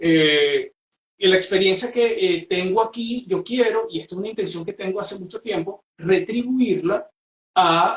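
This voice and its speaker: Speaking at a fairly slow pace, the voice comes in a Venezuelan accent. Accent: Venezuelan accent kept intact. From Venezuela, Puerto Ordaz / Ciudad Guayana. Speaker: psychologist and trainer. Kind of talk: webinar presentation. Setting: video call. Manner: hesitant, many fillers.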